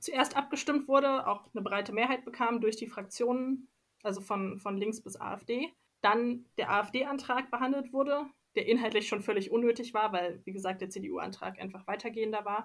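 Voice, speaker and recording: At a moderate pace, a woman speaks in an unremarkable speaking voice, fairly high in pitch with ordinary pitch variation. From Leipzig, Saxony. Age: 20s. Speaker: local councillor, environmental engineer. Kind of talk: interview.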